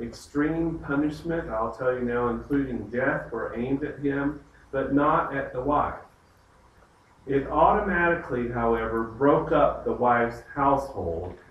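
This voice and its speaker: Noticeable background noise and audible room echo surround a man with a Southern US accent and ordinary pitch variation. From US South. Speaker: pastor leading Bible study. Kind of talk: Bible study lecture. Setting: church group with live audience.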